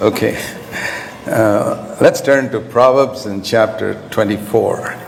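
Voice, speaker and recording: Very slowly, a man talks through audible room echo and noticeable background noise. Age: 70s. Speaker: preacher. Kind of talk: sermon.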